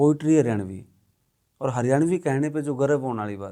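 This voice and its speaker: A man at medium pitch, dark and mellow in tone, with ordinary pitch variation, in a very clean recording with a silent background. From Haryana, India. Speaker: ex-journalist and film director. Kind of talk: podcast conversation.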